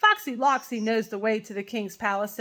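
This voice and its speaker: Putting on a character voice, a woman talks at fairly high pitch and a fairly quick pace. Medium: read story.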